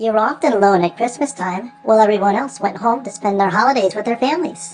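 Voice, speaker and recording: A woman puts on a character voice at a fairly high pitch. She speaks at a very fast pace. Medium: read story. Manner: gentle, patient.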